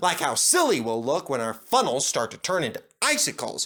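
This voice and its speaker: Speech in a put-on character voice unfolds at a moderate pace. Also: man, high pitch for a man. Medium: read story.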